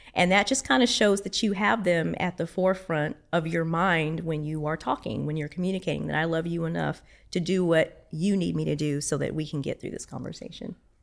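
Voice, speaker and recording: Her voice fairly low with vocal fry, a woman talks at a fairly quick pace with hardly any pauses and ordinary pitch variation. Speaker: church administrator, marriage class teacher. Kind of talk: casual chat. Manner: animated.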